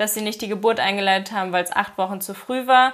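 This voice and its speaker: A woman is talking here. Her voice sits at a medium pitch. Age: 20s. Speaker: influencer and mother. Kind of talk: casual interview, personal story.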